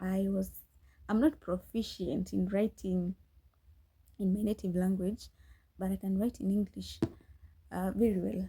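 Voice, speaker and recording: A woman's somewhat breathy, dark and mellow voice in a Kenyan accent, with fairly even intonation, a fairly slow pace and long, frequent pauses. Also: medium pitch for a woman. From Kenya, Nyeri. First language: Kikuyu. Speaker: podcast host, scriptwriter. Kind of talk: casual chat. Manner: halting, frequent restarts.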